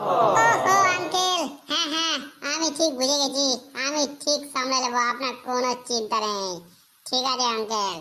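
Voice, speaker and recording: Here is a cartoonish character voice that sounds female and high in pitch. It moves at a moderate pace. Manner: brash, boastful.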